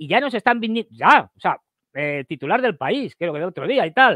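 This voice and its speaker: A man with a high pitch and very wide pitch swings speaks in a bright, sharp tone, the sound dry with no echo over a quiet background. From Spain. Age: 60s. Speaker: geopolitical analyst. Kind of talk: casual interview. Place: home room. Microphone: headset.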